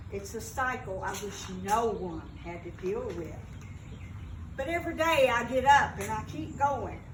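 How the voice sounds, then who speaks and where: A woman with a Kentucky accent at a fairly slow pace, big swings in loudness, audible room echo and noticeable background noise. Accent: US Southern (Kentucky). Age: 60s. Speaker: mental health peer speaker. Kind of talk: personal testimony speech.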